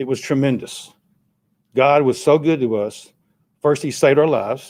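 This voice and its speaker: In a Tennessee accent, a man speaks at a fairly high pitch. His pace is moderate and his pitch varies in an ordinary way. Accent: US Southern (Tennessee). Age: 60s. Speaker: resident speaking at public comment. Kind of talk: public comment at a city meeting. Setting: city council meeting.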